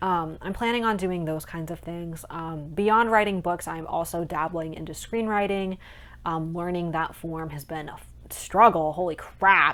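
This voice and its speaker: In a plain, everyday voice, a woman with a fairly low pitch speaks at a moderate pace with ordinary pitch variation and big swings in loudness. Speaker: aspiring author and vlogger. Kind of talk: casual vlog monologue. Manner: chatty, many filler ums.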